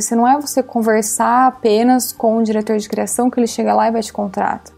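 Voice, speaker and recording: Music plays behind a woman speaking at fairly high pitch. She talks at a fairly quick pace with fairly even intonation. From Brazil. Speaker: art director. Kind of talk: casual interview chat. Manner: casual, filler-heavy (tipo).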